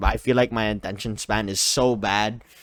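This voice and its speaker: Here a man speaks at a moderate pace. His pitch sits fairly low, with ordinary variation. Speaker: streamer answering comments. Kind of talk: casual chat. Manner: yells while streaming; halting, hesitant.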